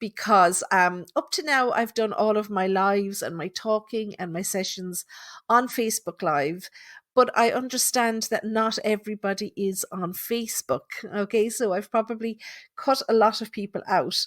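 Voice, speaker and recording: Ordinary pitch variation marks a woman's fairly high voice in a very clean recording with a silent background. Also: moderate pace, dry, close sound with no echo. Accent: Tipperary. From Ireland, Thurles, Tipperary. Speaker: psychic medium. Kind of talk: casual live podcast monologue. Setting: live podcast from home.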